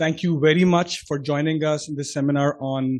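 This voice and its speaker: A man's fairly high voice in a Pakistani accent, with fairly even intonation. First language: Urdu. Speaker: chartered accountant, committee chairman. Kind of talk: seminar talk with personal anecdote. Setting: stage with audience.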